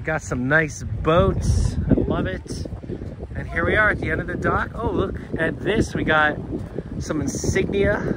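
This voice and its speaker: Amid loud background noise, a man speaks at a fairly slow pace in a dry sound with no echo. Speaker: travel vlogger. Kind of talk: casual vlog chat. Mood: upbeat, admiring. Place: waterside. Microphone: phone near.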